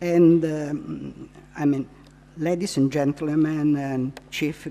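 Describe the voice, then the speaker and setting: A woman with a non-native accent speaks at a very deep, low pitch with fairly even intonation. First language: Italian. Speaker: psychiatrist and Montessori trainer. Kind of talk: lecture. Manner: halting.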